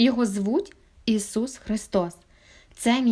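The reading voice is unforced. Text is read out.

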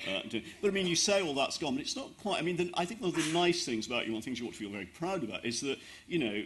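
A man at a very fast pace, fairly bright in tone, with lively intonation. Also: fairly high pitch for a man.

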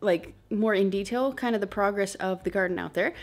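Moderate-paced speech from a woman, with a quiet background. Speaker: homestead vlogger. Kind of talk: casual vlog chat. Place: home room. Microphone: phone near.

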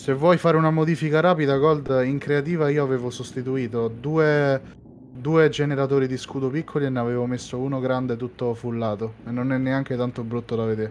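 He talks fairly quickly, his intonation fairly even. This man has an ordinary speaking voice pitched in the middle range. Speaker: fleet crew member/player. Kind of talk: roleplay radio dispatch, quick crisp comms chatter during the attack.

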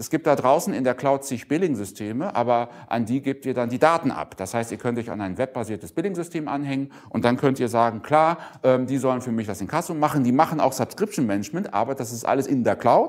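A man at a fairly quick pace with lively intonation, against a quiet background. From northwestern Germany (Emsland); northwestern Germany. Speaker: keynote speaker, open source business person; keynote speaker. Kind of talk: conference keynote talk. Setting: conference stage with audience. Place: hall. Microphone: lapel.

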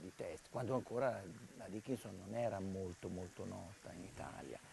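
In an ordinary speaking voice, a man talks at a fairly quick pace and fairly low pitch with ordinary pitch variation, the sound dry with no echo over light background noise. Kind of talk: interview answer. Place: garden. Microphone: lapel.

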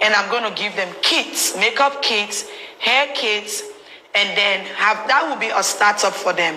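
A woman talks at a moderate pace with ordinary pitch variation, and light background noise runs behind her. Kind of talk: interview answer. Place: booth.

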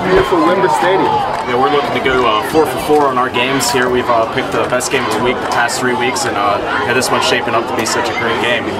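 With crowd noise in the background, a man speaks at a very fast pace with ordinary pitch variation. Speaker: sports commentator. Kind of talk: commentary. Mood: upbeat, enthusiastic. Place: stadium.

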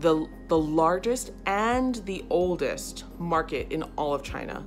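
Faint music plays behind a woman as she talks. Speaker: travel vlogger. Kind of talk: casual vlog chat. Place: home room. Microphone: phone near.

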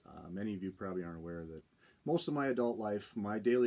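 The man's delivery moves at a fairly quick pace. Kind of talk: casual vlog chat. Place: office. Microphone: phone near.

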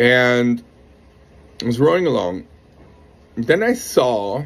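Lively intonation marks the man's speech. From France. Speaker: rowing coach. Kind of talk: monologue to camera, coaching pitch. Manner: animated. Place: garden. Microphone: phone near.

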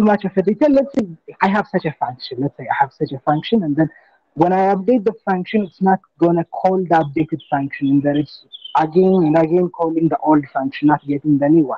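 This is an unremarkable speaking voice, a man with a fairly high pitch and ordinary pitch variation. His pace is fairly quick and the sound is dry with no echo. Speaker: trainee in a data course. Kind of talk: standup status update. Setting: video call. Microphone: video call.

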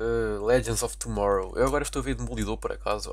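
A man with a European Portuguese accent at a moderate pace. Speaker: gaming YouTuber. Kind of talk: casual gameplay commentary. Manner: animated.

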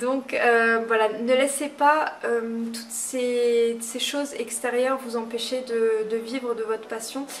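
A woman talks very slowly with hardly any pauses, her fairly high voice flat and monotone over light background noise. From Moselle, France. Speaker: nail technician trainer. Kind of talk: tutorial. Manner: halting, many fillers.

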